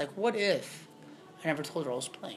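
Lively intonation at a fairly quick pace, over noticeable background noise. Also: man. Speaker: podcast co-host. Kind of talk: casual chat. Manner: loud.

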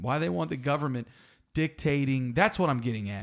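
Recorded very cleanly against a silent background, a man with a Southern US accent speaks in an animated tone at a fairly quick pace. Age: 30s. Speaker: arborist and podcast co-host. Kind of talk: casual chat. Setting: studio.

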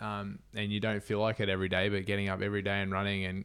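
This Australian-accented man has a fairly low voice and talks at a fairly quick pace. The recording is very clean, with a silent background. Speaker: ultra runner. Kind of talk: casual interview chat.

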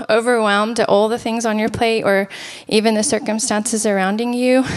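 A soft-spoken woman with a fairly high pitch and monotone, flat intonation. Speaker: church worship leader and guest speaker. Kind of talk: sermon. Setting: church, handheld microphone.

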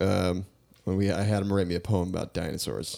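With an American accent, a man speaks at a moderate pace in a very deep, low pitch. His tone is dark and mellow, and his intonation fairly even. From New York. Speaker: podcast co-host. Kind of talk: casual chat.

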